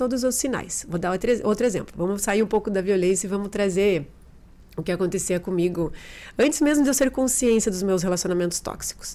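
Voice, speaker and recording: Speaking fairly quickly in a southern Brazilian accent, a woman has a medium pitch, a dark, mellow tone and ordinary pitch variation. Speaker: behavioral therapist. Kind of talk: podcast interview testimony.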